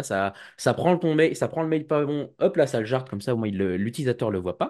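Using very wide pitch swings, a man talks at a fairly quick pace and a medium pitch. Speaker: cybersecurity student and association president. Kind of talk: casual interview. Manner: hesitant, many fillers.

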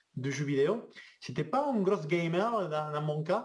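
At a fairly slow pace, a man speaks in a plain, everyday voice that sits fairly high in pitch. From Argentina. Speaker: video game 3D artist. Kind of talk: casual interview chat.

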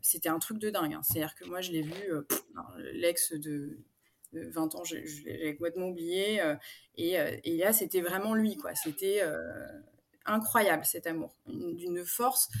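Fairly low in pitch, a woman speaks with lively intonation. Her fairly slow pace has long, frequent pauses. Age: 40s. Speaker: coaching client sharing her story. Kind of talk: interview testimony. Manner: halting, many fillers.

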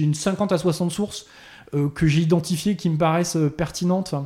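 This man's voice has a dark, mellow tone and fairly even intonation, captured in a very clean recording with a silent background. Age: 40s. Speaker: technology executive. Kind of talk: interview. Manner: halting, many repetitions.

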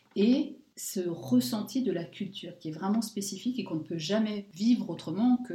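A woman's somewhat breathy, dark, mellow voice at medium pitch, with lively intonation and a moderate pace. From France. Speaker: podcast co-host, sophrologist. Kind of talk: interview.

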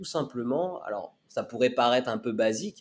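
A man has an unremarkable speaking voice at medium pitch. He talks at a fairly slow pace with ordinary pitch variation. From western France (Laval, Mayenne). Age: 20s. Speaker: community manager for an entrepreneurs' club. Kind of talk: podcast interview.

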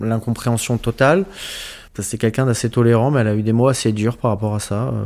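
The man's fairly low voice moves along at a moderate pace. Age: 30s. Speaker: interviewee, asexual person. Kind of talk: interview testimony. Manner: halting.

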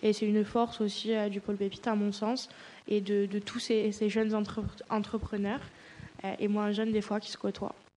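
A woman speaks in a flat monotone. She leaves long, frequent pauses. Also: fairly high pitch for a woman, moderate pace. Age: 20s. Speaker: art student and entrepreneur. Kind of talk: casual discussion.

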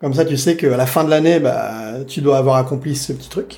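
This man has a fairly high pitch and ordinary pitch variation. He talks in a normal speaking voice. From France, Saint-Denis (Paris suburbs). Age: 30s. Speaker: innovation consultant. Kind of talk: interview.

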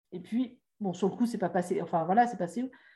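A woman's somewhat breathy voice with a dark, mellow tone, lively intonation and a fairly quick pace. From France. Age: 50s. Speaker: life coach. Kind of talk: interview.

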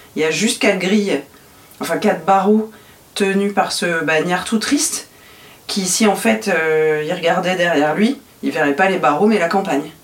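A woman talks at a moderate pace with ordinary pitch variation and long, frequent pauses, with noticeable background noise behind her. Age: 40s. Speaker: podcast guest sharing personal story. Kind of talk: intimate interview.

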